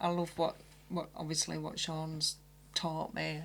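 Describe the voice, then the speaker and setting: A woman with a Barnsley accent, at a moderate pace. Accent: Barnsley, Yorkshire accent, noticeable. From Barnsley, South Yorkshire. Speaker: special effects makeup artist. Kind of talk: casual interview.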